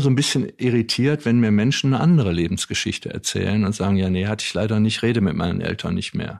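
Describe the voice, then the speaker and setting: A man talks at a fairly quick pace with a fairly low pitch. He has a plain, everyday voice. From Wuppertal, Germany. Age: 60s. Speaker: author and former radio manager. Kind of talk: interview conversation.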